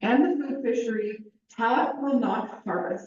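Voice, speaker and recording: A woman's voice at a fairly slow pace, with ordinary pitch variation and audible room echo. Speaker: fisheries business representative. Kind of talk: recorded slide presentation. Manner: loud.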